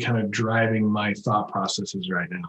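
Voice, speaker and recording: Somewhat breathy, a man with an American accent speaks at a fairly slow pace with lively intonation. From Texas, Houston. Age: 50s. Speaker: contractor business coach. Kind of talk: podcast interview.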